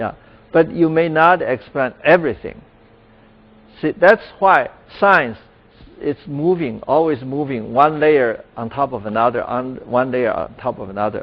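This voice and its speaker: A man with a Chinese accent speaks at a fairly slow pace and a fairly high pitch, with lively intonation and long, frequent pauses. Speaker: professor. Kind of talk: lecture. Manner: halting, with many fillers.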